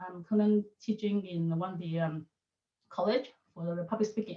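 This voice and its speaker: The voice belongs to a woman. It has a somewhat breathy quality. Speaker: public speaking coach. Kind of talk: webinar presentation. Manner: fast.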